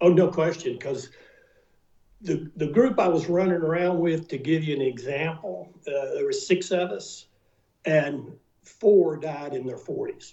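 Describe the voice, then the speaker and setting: A man with a high-pitched voice at a fairly slow pace, with ordinary pitch variation. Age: 70s. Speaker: retired NFL punter. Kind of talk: interview.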